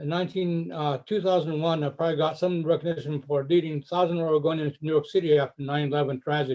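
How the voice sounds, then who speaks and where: Here a man talks at a very fast pace, with hardly any pauses. His pitch is fairly high and his intonation fairly even. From Japan, then Portland, Oregon from age ten. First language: Japanese. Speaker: community leader, retired businessman. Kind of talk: community panel introduction. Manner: halting, with restarts.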